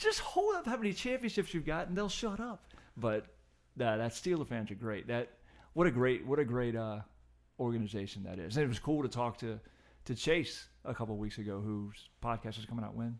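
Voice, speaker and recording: A man with an American accent talks at a fairly quick pace in a plain, everyday voice. His pitch sits in the medium range and his intonation is lively. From Richmond, Virginia area. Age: 50s. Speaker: podcast guest and occasional co-host. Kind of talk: casual chat.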